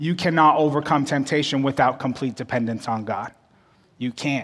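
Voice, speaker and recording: Using a plain, everyday voice, this man holds a fairly high pitch that shifts with ordinary variation. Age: 30s. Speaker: associate pastor. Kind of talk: sermon. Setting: church service with live audience and online stream.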